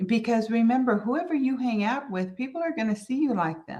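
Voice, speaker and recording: A woman with an American accent speaks in a fairly high, somewhat breathy voice with lively intonation. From US, mixed New York and Southern family. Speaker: business coach. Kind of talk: solo business talk.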